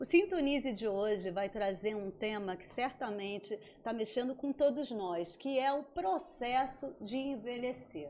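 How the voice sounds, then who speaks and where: Spoken in a Rio de Janeiro accent, the voice has a dark, mellow tone and lively intonation, with hardly any pauses. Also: woman, fairly high pitch for a woman, fairly slow pace. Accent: carioca. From Rio de Janeiro, Brazil. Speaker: psychiatrist and podcast host. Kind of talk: podcast interview. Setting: studio.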